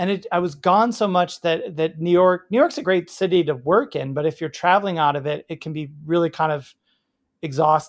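Speaking at a fairly quick pace with ordinary pitch variation, this voice has an American accent on a very clean recording with a silent background. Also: man. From Chicago area, Illinois. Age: 40s. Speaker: bartender and cocktail author. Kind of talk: interview. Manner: halting, many fillers and restarts.

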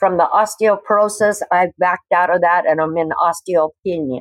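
In an unremarkable speaking voice with an American accent, a woman talks at a moderate pace and a fairly low pitch with ordinary pitch variation, and the sound is dry and close with no echo. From US Northwest, Washington State. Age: 60s. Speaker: cannabis patient. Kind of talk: interview testimony.

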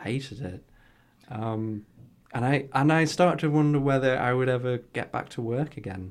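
Speaking with a Geordie accent, a man talks at a moderate pace and medium pitch, with ordinary pitch variation. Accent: Geordie, northeast English. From northeast England. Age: 30s. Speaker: health tech entrepreneur. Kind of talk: casual interview chat. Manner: halting, with many fillers.

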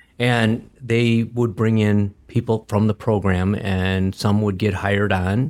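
With an Upper Midwest accent, a man speaks at a fairly slow pace in a fairly low pitch with fairly even intonation, on a very clean recording against a silent background. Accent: Upper Midwest American. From Wisconsin, Green Bay. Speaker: business founder and trainer. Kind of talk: casual interview.

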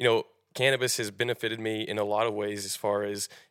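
The recording is very clean, with a silent background and a dry, close sound with no echo. A man speaks at a fairly low pitch with an American accent. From Oklahoma, near Tulsa. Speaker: cannabis farmer. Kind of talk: interview.

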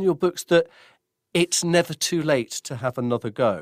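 A man's fairly high-pitched voice, a normal speaking voice with ordinary pitch variation, dry and close with no echo on a very clean recording with a silent background. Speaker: radio host interviewer. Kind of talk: interview.

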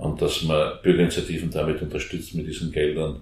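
A man with a very deep, low pitch speaks at a moderate pace in a monotone, flat intonation. His voice is somewhat breathy, and audible room echo surrounds it. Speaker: former member of parliament, Green politician. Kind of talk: interview. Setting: back room of a coffee house.

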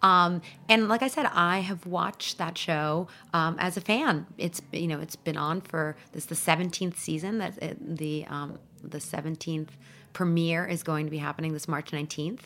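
Her tone bright and sharp, a woman speaks at a moderate pace in a fairly low pitch with ordinary pitch variation. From Iran, then Paris, moved to New York at 13. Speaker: magazine editor and food TV judge. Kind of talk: interview.

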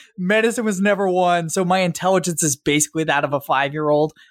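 A man with a high voice speaks at a very fast pace, his intonation lively. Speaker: podcast host. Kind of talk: scripted intro and interview.

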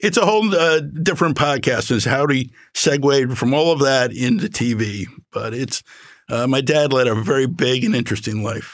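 On a very clean recording with a silent background, a man speaks with a Philadelphia accent. His pitch is medium, his pace moderate and his intonation lively. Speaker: litigant, father and amateur improv comedian. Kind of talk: casual chat. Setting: recording studio. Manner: halting.

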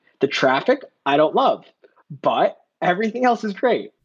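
This man speaks in an American accent with a slightly husky edge. His intonation is lively and his pace fairly quick.

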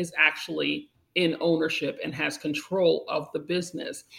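In a normal speaking voice, a woman with an American accent talks at a moderate pace, with a fairly low pitch and ordinary pitch variation. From Long Island, New York. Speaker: cannabis attorney and podcast host. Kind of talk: interview.

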